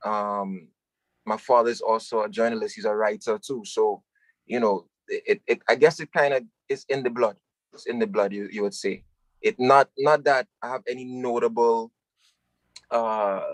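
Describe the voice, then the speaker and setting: With an American accent, a man talks at a moderate pace with long, frequent pauses and big swings in loudness, in a dry, close sound with no echo. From New York (Harlem/Brooklyn), West Indian household. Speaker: singer-songwriter. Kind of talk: interview.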